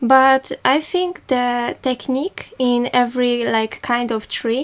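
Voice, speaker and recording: A woman speaks in a high pitch with a Polish accent. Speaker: art tutor. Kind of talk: tutorial. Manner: halting.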